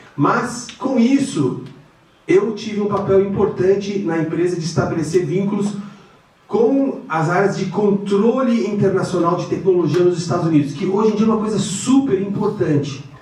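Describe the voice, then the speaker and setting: A man speaks with a high pitch. Both audible room echo and noticeable background noise are present. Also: ordinary pitch variation, moderate pace. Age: 60s. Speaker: finance executive and lecturer. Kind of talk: guest lecture. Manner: hesitant, many fillers.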